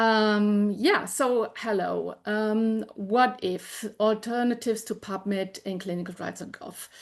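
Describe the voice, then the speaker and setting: A woman's fairly high voice in a German accent, very slow with hardly any pauses and fairly even intonation. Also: quiet background. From Germany. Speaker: information specialist, department head. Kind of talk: webinar presentation. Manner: halting, many fillers.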